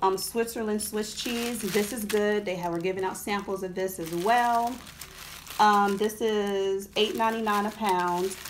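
The speech moves at a fairly slow pace with fairly even intonation. Light background noise can be heard. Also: woman. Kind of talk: casual vlog chat. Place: home room. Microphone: phone near.

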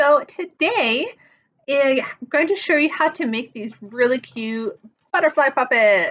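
A woman with a high pitch talks with lively intonation. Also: fairly slow pace. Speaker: presenter. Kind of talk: tutorial. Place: home room. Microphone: webcam.

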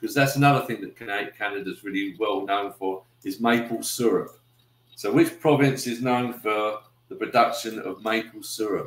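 A man with a British accent at a moderate pace, with audible room echo. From UK. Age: 60s. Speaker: YouTuber. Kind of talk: casual livestream chat. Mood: friendly, relaxed. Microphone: webcam.

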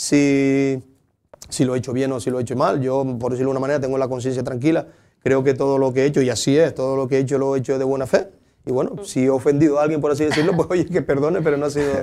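In a Canarian accent, a man talks at a very fast pace with a fairly high pitch and a dark, mellow tone. His intonation is fairly even, with light background noise. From Lanzarote, Canary Islands (Tías); Canary Islands. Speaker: local sports councillor. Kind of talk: interview. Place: studio.

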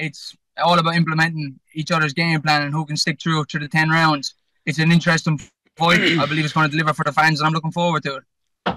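A man speaks very fast in an Irish accent, his fairly high voice bright and sharp in tone. His intonation is flat and monotone, and the sound is dry with no echo. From Ireland. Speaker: professional boxer; boxer on podcast. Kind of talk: pre-fight interview. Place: car. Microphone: phone near.

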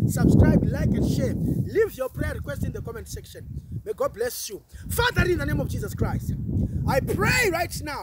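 Loud background noise, dry sound with no echo, and a male speaker at a moderate pace. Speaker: preacher. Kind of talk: fervent intercessory prayer, rebuking the spirit of fear with repeated petitions. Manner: urgent, insistent repetition of phrases like I come against; stammering, building intensity, mixing in Swahili words. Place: open country.

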